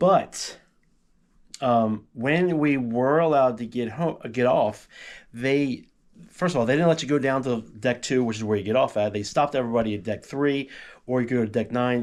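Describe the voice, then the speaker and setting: The recording is very clean, with a silent background. A man talks at medium pitch with ordinary pitch variation. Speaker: travel vlogger. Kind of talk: casual chat. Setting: at home. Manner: fast.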